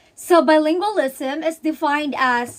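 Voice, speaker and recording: Here a woman speaks in a Visayan Filipino accent. Her high-pitched voice has lively intonation. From Philippines, Visayas. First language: Bisaya (Cebuano). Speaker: student. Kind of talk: recorded school assignment answer. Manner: halting, with repeated words and self-corrections.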